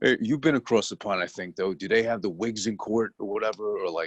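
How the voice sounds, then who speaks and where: At a fairly low pitch and a moderate pace, a man speaks with a strong New York accent, the sound dry and close with no echo against a quiet background. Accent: heavier New York. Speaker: TV review podcast co-host. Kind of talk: casual chat. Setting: video call.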